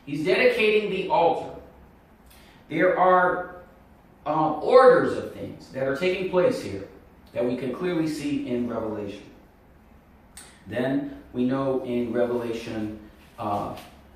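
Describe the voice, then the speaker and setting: With audible room echo and noticeable background noise, a man at a fairly high pitch swings his pitch very widely and takes long, frequent pauses. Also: fairly slow pace. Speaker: Bible prophecy video teacher. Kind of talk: Bible teaching monologue.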